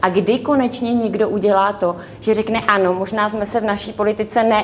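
Fairly high female voice with monotone, flat intonation at a moderate pace, over noticeable background noise. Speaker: member of European Parliament. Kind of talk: televised political debate.

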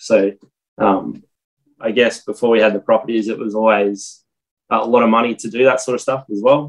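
A man with an Australian accent, ordinary pitch variation and a moderate pace. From Australia, Armidale NSW and Maryborough Queensland. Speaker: property investor. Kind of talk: casual interview.

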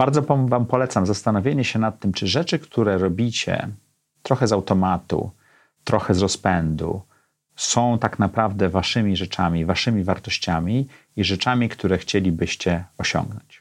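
A man with a plain, everyday voice speaks at a moderate pace and a fairly low pitch, with ordinary pitch variation and very even loudness, on a very clean recording with a silent background. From Poland, Gdańsk. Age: 50s. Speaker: podcast host. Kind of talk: solo monologue.

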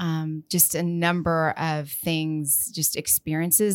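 A woman with a very deep, low pitch and an American accent at a fairly slow pace, in a very clean recording with a silent background. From West Texas, Lubbock. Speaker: trade association president. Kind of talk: interview. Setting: studio.

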